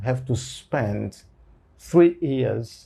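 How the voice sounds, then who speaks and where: Dark, mellow tone and a somewhat breathy quality from a man. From Angola. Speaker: lawyer and university lecturer. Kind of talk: interview. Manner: halting, many fillers.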